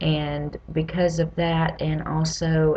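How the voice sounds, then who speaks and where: A Southern US accent at a very slow pace, with noticeable background noise. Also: woman. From US South (Louisiana, Mississippi, Tennessee). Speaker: patient advocate. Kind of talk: personal vlog testimony.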